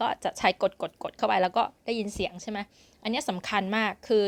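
A woman speaks in a normal speaking voice at a medium pitch with fairly even intonation. The recording is very clean, with a silent background. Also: dry, close sound with no echo. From Thailand. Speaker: language teacher. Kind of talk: tutorial.

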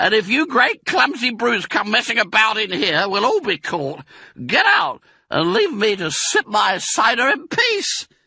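A man in a put-on character voice sounds angry, his high pitch turning shrill. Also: moderate pace. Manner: shrieking, angry.

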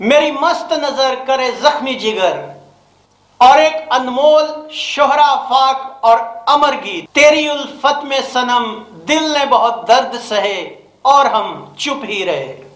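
Strong room echo surrounds a man with an extremely high pitch. He talks slowly with lively intonation and a fairly bright tone.

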